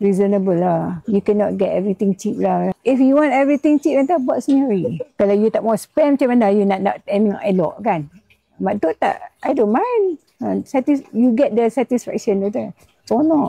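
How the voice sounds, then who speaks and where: A dark, mellow tone with lively intonation and very even loudness, at a fairly slow pace, in dry, close sound with no echo. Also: woman, fairly high pitch for a woman. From Malaysia, Kedah. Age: 80s+. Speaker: retired gardener, customer. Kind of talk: casual chat. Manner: animated.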